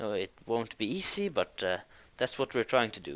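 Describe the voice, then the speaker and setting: A man at a moderate pace with very wide pitch swings, on a very clean recording with a silent background. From Norway. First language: Norwegian. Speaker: interviewee. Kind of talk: interview answers. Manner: hesitant, many fillers.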